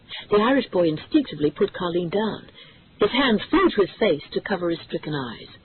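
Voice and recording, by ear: The speaker reads from a text. This is reading aloud in a natural voice.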